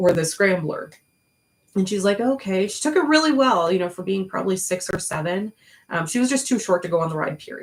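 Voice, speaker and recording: A woman's medium-pitched voice, fairly quick and with lively intonation. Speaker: YouTuber recounting past jobs. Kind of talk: personal storytelling monologue. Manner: loud; casual, many fillers.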